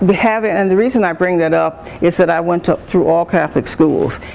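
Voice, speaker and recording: A woman at fairly low pitch, moderate pace and ordinary pitch variation, against noticeable background noise. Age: 70s. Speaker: retired nursing professor and dean. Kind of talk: talk to students. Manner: halting, many fillers and restarts.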